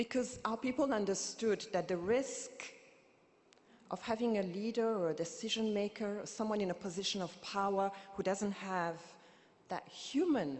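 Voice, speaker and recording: A woman with a Burundian accent speaks at a medium pitch, moderate pace and ordinary pitch variation. She leaves long, frequent pauses. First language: Kirundi. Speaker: activist and poet, keynote speaker. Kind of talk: keynote speech. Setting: conference stage with audience. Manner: impassioned.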